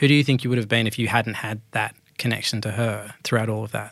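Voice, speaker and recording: A man with an Australian accent at a very fast pace, medium pitch and fairly even intonation, in a very clean recording with a silent background. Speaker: podcast host. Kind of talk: interview, casual chat.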